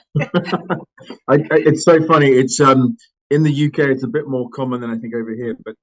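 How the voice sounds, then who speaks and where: An English accent from a man, his pitch moving in an ordinary way. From England, London. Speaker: company CEO. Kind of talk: podcast interview. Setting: audio-only remote podcast. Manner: halting, many fillers.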